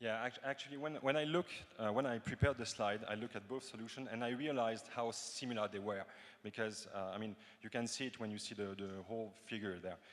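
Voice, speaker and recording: A man speaks at a very fast pace with a medium pitch and ordinary pitch variation. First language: French. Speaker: cryptography researcher. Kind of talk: conference Q&A answers. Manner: halting, many fillers.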